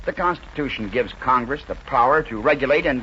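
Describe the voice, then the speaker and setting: Noticeable background noise surrounds a man talking in an American accent. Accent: mid-century American broadcast English. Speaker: radio commentator and author. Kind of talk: radio speech, political commentary.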